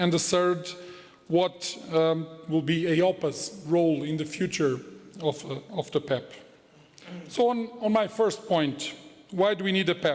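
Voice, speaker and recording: In a Portuguese accent, a man speaks at a fairly slow pace and high pitch, with ordinary pitch variation and long, frequent pauses. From Portugal. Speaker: head of a financial regulator. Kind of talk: conference speech. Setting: conference hall with audience. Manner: formal.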